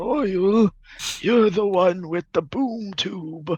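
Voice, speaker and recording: Very slow delivery in a put-on character voice, pitched in the middle. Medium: actual play. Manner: grumpy, old-fashioned exclamations.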